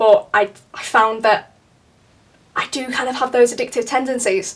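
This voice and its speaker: A woman speaks with a Yorkshire accent. Her intonation is monotone and flat. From northern England, Leeds. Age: 20s. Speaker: art student. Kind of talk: documentary interview. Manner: hesitant, with many fillers.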